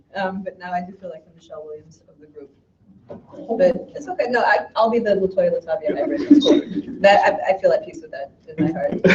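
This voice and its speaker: Over music in the background, a woman talks at a fairly quick pace. Her fairly high voice swings very widely in pitch and greatly in loudness. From Chicago, US. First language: Arabic. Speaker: poet. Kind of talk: poetry reading with casual introduction.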